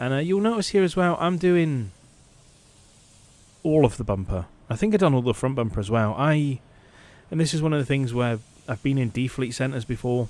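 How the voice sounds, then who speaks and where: A man at medium pitch and a fairly quick pace, with lively intonation and long, frequent pauses. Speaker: car paint sprayer. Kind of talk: workshop voice-over tutorial. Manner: casual, conversational.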